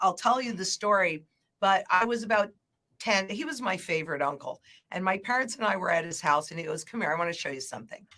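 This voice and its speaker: Here is a woman with an unremarkable speaking voice at a medium pitch. Her intonation is lively. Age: 60s. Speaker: market analyst, former banker. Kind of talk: casual chat.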